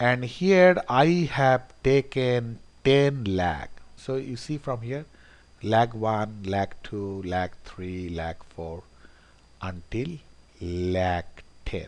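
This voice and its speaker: At a very slow pace, a man talks with very wide pitch swings and big swings in loudness. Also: medium pitch for a man. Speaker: econometrics tutor. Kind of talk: screen-recorded software tutorial. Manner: halting, repeats words.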